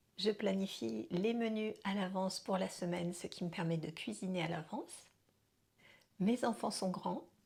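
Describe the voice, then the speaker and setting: Somewhat breathy, a woman talks at a fairly slow pace. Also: medium pitch for a woman, ordinary pitch variation. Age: 50s. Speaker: dance and life coach, vlogger. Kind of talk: personal vlog monologue. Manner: conversational with hesitations.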